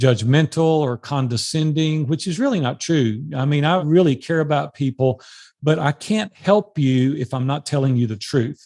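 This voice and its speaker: A man talks at a moderate pace in a normal speaking voice, fairly high in pitch with ordinary pitch variation. The sound is dry and close with no echo against a quiet background. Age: 60s. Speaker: life and business coach. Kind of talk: podcast interview.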